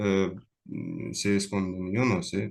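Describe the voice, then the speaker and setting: Against a quiet background, a man with a non-native accent speaks at a very slow pace, with ordinary pitch variation. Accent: non-native Spanish, foreign. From Russia. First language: Russian (speaking Spanish). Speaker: lecturer, speaker. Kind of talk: Q&A after a lecture. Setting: online video call. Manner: halting, many fillers.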